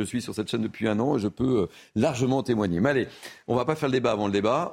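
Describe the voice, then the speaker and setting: At medium pitch, a man speaks with ordinary pitch variation in a plain, everyday voice. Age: 60s. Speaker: TV news debate host. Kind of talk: televised debate moderation.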